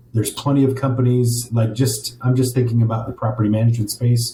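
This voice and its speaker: A man's somewhat breathy voice, dark and mellow in tone, medium in pitch, with monotone, flat intonation. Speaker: property management business owner. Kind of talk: interview. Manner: fast.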